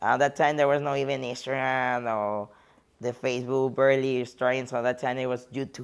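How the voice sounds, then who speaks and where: Speaking with a Spanish accent, a woman talks at a fairly quick pace in a very deep, low pitch and a monotone, flat intonation. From Mexico (border near Laredo). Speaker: bodybuilding competitor and coach. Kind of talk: interview.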